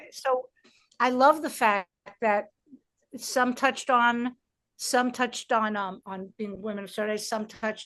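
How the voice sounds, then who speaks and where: A woman with a New York accent, fairly high pitch, ordinary pitch variation, moderate pace and a quiet background. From New York, Brooklyn. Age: 60s. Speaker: stand-up comedian and comedy producer. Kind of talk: interview conversation. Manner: animated; halting.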